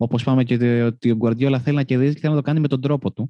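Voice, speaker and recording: Dark and mellow, a man's voice races along at a very fast pace. The sound is dry and close, with no echo. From Greece, Karpenisi area. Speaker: football podcast host. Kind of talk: casual chat. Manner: halting, repeats words.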